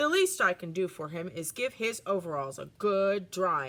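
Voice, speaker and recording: Putting on a character voice, a woman with a medium-pitched voice talks at a moderate pace, with lively intonation and big swings in loudness. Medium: read story.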